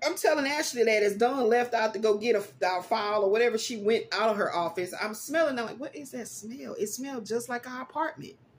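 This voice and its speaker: With hardly any pauses and at a fairly quick pace, a woman speaks at a fairly high pitch with ordinary pitch variation and big swings in loudness over noticeable background noise. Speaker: psychic life coach and podcaster. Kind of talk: casual chat.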